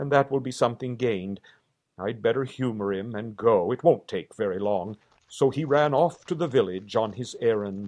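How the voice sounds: The speaker uses a natural reading voice over a quiet background.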